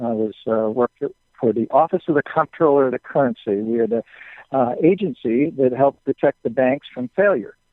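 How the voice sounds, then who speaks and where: This man speaks at a moderate pace and a medium pitch. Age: 60s. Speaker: business owner. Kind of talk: interview. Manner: halting, many fillers.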